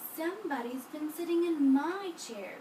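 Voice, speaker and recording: Using a put-on character voice, a woman speaks at an extremely high pitch and a moderate pace over clear background noise. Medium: read story. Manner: prim, proper.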